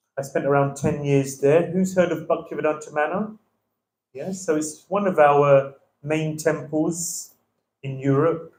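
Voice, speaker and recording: The speaker, somewhat breathy and in a London accent, talks at a moderate pace. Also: man. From London, England. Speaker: visiting temple speaker. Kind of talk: religious class. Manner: hesitant with many fillers.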